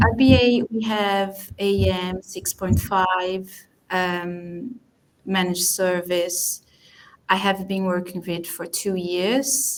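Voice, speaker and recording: In a Portuguese accent, a woman speaks very slowly at a medium pitch with fairly even intonation. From Brazil. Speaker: DAM professional, attendee. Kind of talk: self-introduction in online meeting.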